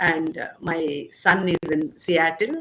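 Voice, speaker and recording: This woman's voice sits at a fairly low pitch. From India, Andhra Pradesh (Bapatla). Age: 60s. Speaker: dance teacher and professor. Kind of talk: interview.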